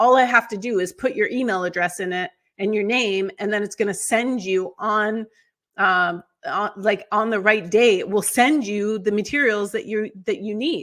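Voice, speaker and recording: A woman with an ordinary speaking voice talks at a fairly high pitch and a moderate pace, with ordinary pitch variation. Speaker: onboarding consultant, company founder. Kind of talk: webinar presentation. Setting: video webinar.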